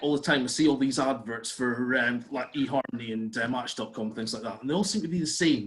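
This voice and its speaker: A man talks at a fairly quick pace with a Scottish accent. His intonation is lively. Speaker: comedian. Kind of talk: stand-up. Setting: video call.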